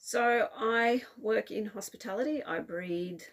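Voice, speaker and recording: Her intonation lively, a woman talks in an Australian accent. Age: 40s. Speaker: cross-stitch video blogger. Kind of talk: casual hobby vlog. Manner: casual, with frequent fillers (um, uh).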